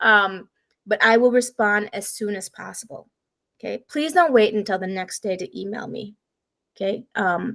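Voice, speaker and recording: Fairly high-pitched, a woman speaks with ordinary pitch variation and big swings in loudness. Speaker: college instructor. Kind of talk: lecture. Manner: fast.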